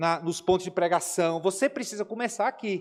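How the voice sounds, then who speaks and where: A man speaks at a fairly quick pace in a high pitch with ordinary pitch variation. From Brazil, Aracaju (Sergipe). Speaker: missionary pastor. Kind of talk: Q&A talk in Sunday school class. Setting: church classroom. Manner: animated.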